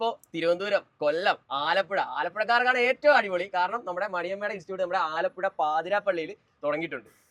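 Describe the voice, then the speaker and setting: A high-pitched man with a bright, sharp tone and ordinary pitch variation, in a dry, close sound with no echo. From Alappuzha, Kerala. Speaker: YouTube host. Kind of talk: casual interview and driving lesson on camera.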